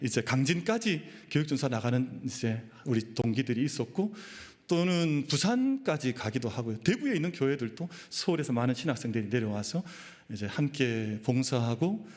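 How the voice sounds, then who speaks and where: This man has a normal speaking voice with a fairly high pitch. He talks at a moderate pace with lively intonation. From Daegu, Gyeongsang region, South Korea. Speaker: pastor. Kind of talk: sermon.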